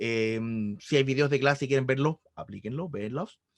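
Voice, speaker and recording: The speaker has a Chilean accent. The sound is dry and close with no echo, over a quiet background. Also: man. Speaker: math tutor. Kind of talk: online tutoring session. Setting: video call. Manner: fast.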